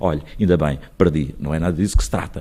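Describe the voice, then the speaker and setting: Through noticeable background noise, a man with a very deep, low voice speaks with ordinary pitch variation. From Portugal, Alto Alentejo (Crato area). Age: 60s. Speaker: mayor and lawyer. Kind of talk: radio interview. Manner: hesitant with repetitions.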